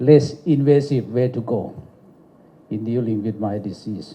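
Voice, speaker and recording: A man speaks at a very slow pace in a dark, mellow, somewhat breathy tone with ordinary pitch variation. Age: 70s. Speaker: doctor giving an award speech. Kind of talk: lecture.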